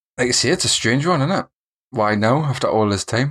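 A man with a Geordie accent, fairly quick pace and ordinary pitch variation, on a very clean recording with a silent background. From northern England, Newcastle area. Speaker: gaming podcast co-host. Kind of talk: casual chat.

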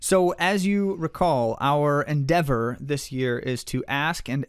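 This is an ordinary speaking voice from a man, fairly high in pitch with ordinary pitch variation. The recording is very clean, with a silent background. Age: 40s. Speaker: running podcast co-host and coach. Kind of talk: casual chat.

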